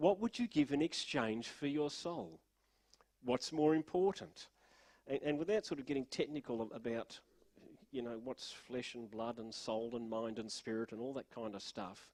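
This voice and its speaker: In an Australian accent, a man with a medium-pitched voice speaks at a moderate pace with lively intonation, the sound dry and close with no echo. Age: 60s. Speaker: pastor. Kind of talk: sermon. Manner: halting.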